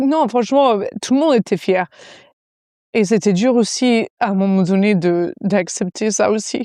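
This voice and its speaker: A woman with an English accent speaks at a fairly slow pace and a fairly high pitch, with lively intonation, a dark, mellow tone and a dry, close sound with no echo. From US, South Florida. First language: English (speaking French). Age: 30s. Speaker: fitness coach. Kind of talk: podcast interview.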